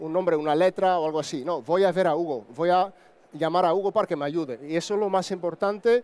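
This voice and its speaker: This man has a high pitch with ordinary pitch variation. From Netherlands. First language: Dutch (speaking Spanish). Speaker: broker firm co-founder. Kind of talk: conference talk.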